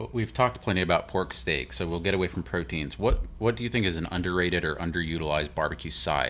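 A man's very deep, low voice with vocal fry and an American accent, lively intonation, and a very fast pace. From Houston, Texas. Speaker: podcast host. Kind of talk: casual chat.

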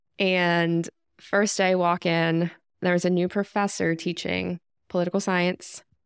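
A woman with an American accent talks at a fairly slow pace, her fairly low voice monotone and flat, her loudness very even. The sound is dry and close with no echo, in a very clean recording with a silent background. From US South, North Carolina (near Raleigh). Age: 30s. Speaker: project manager, former teacher. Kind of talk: casual chat.

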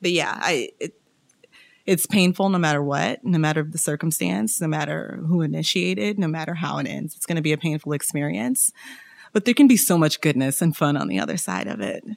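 Here is a woman with an American accent and a very deep, low pitch. Her voice makes very wide pitch swings. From Kansas City, US Midwest. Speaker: church member sharing her divorce story. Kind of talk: casual interview.

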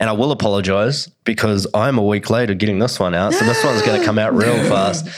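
Speaking at a very fast pace with hardly any pauses, a man uses a fairly low pitch, ordinary pitch variation and very even loudness against noticeable background noise. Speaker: podcast host. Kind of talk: casual interview chat.

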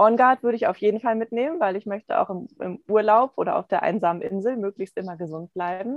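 Hardly pausing, a woman talks at a very fast pace with a fairly high pitch and lively intonation. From Hamburg, Germany. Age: 40s. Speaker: essential oils consultant. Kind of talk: interview.

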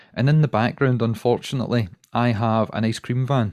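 In a Glaswegian accent, a man talks at a very fast pace with ordinary pitch variation. The sound is dry and close with no echo, and the background is quiet. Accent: Glaswegian Scottish. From Scotland, Glasgow. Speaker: watch podcaster. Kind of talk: casual interview chat. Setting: home recording, remote call.

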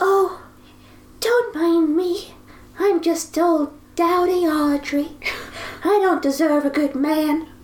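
A female-sounding voice performs a put-on character voice at an extremely high pitch, breathy and very slow. Long, frequent pauses break it up over light background noise.

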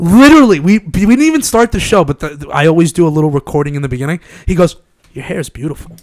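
A man talks very fast with a Long Island accent and lively intonation. His pitch is high, and the sound is dry and close with no echo. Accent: New York (Long Island). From Long Island, New York. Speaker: podcast host. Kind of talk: casual chat. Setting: studio. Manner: animated.

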